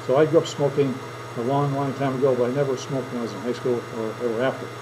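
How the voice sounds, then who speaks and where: Over noticeable background noise and audible room echo, a man with an American accent speaks very fast at a fairly high pitch. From southern Minnesota. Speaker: teacher. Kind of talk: classroom speech demonstration. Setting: classroom with audience. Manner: conversational storytelling.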